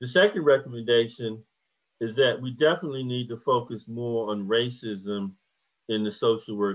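With an American accent, a man talks at a moderate pace with ordinary pitch variation over a quiet background. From US South, Hampton, Virginia; Virginia. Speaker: professor of social work. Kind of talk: lecture. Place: home room. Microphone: video call.

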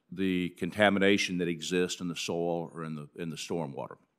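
Someone with an American accent talks at a moderate pace with fairly even intonation over a quiet background. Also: man. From central Alabama. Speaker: redevelopment lawyer testifying. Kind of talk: formal testimony. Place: hall. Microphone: podium.

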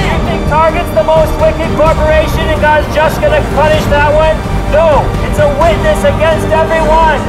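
Over loud music in the background, a man talks at a moderate pace. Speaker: street preacher. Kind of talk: open-air street preaching, shouted rebuke. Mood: stern, rebuking. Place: street. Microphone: camera far.

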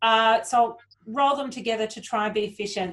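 This woman has an Australian accent. Her pitch is fairly high. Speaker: panel moderator. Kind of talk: moderating Q&A. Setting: video call. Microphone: video call.

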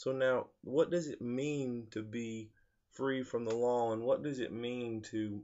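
At a very slow pace, a man talks against a quiet background. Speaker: preacher. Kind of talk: sermon. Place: home room. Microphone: webcam.

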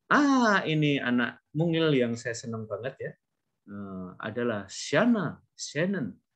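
Speaking at a very slow pace, a man with a fairly high pitch makes very wide pitch swings. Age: middle-aged. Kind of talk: online class lecture. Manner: animated.

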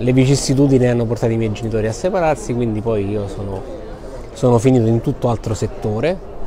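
A man speaks at a very fast pace with ordinary pitch variation. Noticeable background noise is present. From Sicily. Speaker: bookshop owner. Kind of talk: interview. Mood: warm, smiling. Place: shop. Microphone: phone near.

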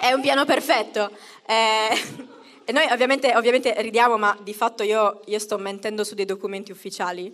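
Animated in tone, a woman talks at a moderate pace. Her pitch is fairly high, with ordinary pitch variation. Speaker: stand-up comedian. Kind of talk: stand-up comedy. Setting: stage with audience. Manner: comic crowd work with self-mocking jokes. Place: stage. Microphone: handheld.

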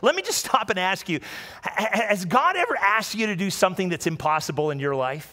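Against a quiet background, a man with a high-pitched, raised and projected voice talks at a fairly quick pace, using an animated, warm tone and lively intonation. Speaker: pastor. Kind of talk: sermon. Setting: church with live audience and livestream. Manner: animated, warm and conversational, with call-and-response; repeats phrases and stumbles slightly while speaking. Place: church. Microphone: headset.

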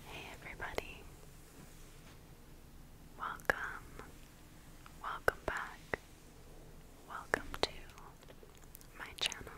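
Long, frequent pauses from a woman speaking at a very slow pace. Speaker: ASMR creator. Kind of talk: ASMR hair play roleplay. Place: home room.

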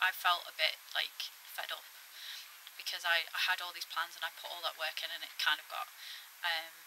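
The speech moves at a moderate pace with big swings in loudness and long, frequent pauses, over light background noise. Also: woman. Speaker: allotment vlogger. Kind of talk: casual vlog chat. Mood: reflective, a bit frustrated. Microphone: phone near.

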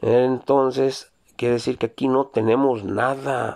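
Against a quiet background, a man talks with monotone, flat intonation. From Mexico, Zacatecas. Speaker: YouTuber reading viewer greetings. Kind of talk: casual greetings show. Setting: Jalpa, Zacatecas. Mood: relaxed, joking. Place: car. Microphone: phone near.

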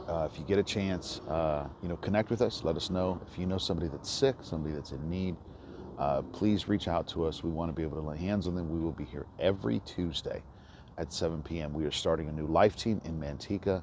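The speech comes at a fairly quick pace with ordinary pitch variation. The sound is dry with no echo, and background noise is noticeable. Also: man, very deep, low pitch for a man. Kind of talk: casual announcement. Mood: warm, friendly. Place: street. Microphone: phone near.

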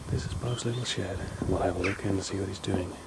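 Noticeable background noise surrounds a man speaking at a fairly quick pace. His intonation is monotone and flat. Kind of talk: playful tour narration.

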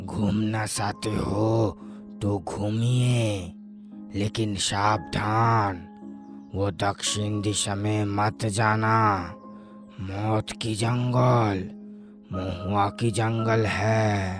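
Clear music plays behind a man who speaks very slowly at a fairly low pitch in a monotone, flat intonation.

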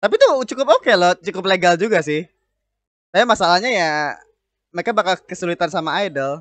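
Very fast and high-pitched, a man speaks with ordinary pitch variation in a dry sound with no echo over a quiet background. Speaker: anime reaction host. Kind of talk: casual reaction commentary. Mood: cheerful, amused. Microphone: studio mic.

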